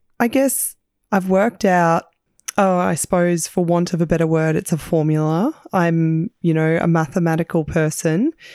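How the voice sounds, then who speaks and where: With an Australian accent, a woman speaks at a fairly low pitch in a dark, mellow tone. Her pace is moderate, her loudness very even, and her pitch varies in an ordinary way. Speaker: podcast host, small business owner. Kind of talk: casual chat and interview.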